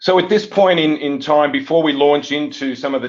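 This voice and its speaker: With an Australian accent, a man speaks at a fairly quick pace with ordinary pitch variation. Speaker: software company executive. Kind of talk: webinar presentation.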